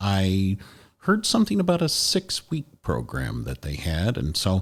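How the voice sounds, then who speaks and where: An unremarkable speaking voice from a man at a fairly slow pace, on a very clean recording with a silent background. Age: 60s. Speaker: hospital chaplain trainee, former long-time professional. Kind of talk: podcast interview.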